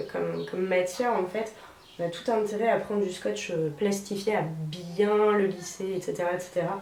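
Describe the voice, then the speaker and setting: Over noticeable background noise and audible room echo, a woman talks at a moderate pace with medium pitch and ordinary pitch variation. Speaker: DIY video creator. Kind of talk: tutorial. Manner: casual, chatty with many fillers.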